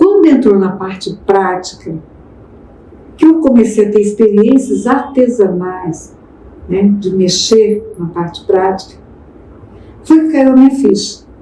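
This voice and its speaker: Through noticeable background noise and audible room echo, a woman with a medium pitch speaks at a fairly slow pace with lively intonation and long, frequent pauses. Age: 70s. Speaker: pastor and speaker. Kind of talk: podcast interview.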